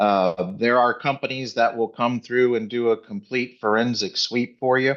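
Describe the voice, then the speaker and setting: Over a quiet background, a man with a normal speaking voice talks at medium pitch with ordinary pitch variation. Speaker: retired federal agent and divorce coach. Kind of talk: presentation.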